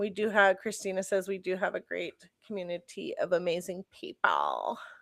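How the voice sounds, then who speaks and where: Putting on a raspy character voice at a medium pitch, a woman speaks at a moderate pace, the sound dry and close with no echo. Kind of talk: casual, chatty.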